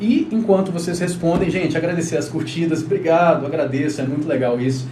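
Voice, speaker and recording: Over noticeable background noise and audible room echo, a man talks fairly quickly at a fairly high pitch with ordinary pitch variation. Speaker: relationship therapist. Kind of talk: live stream talk. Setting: live stream. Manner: fast.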